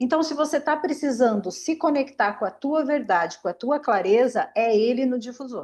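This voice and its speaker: The intonation is lively. The pace is fairly slow. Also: woman. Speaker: aromatherapist. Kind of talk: online class.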